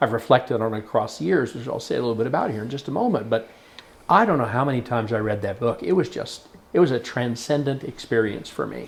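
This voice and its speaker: In an American accent, a man talks at a very fast pace with a medium pitch, ordinary pitch variation and a somewhat breathy sound. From Oklahoma. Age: 60s. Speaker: storyteller. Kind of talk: interview. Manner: reflective, with hesitations.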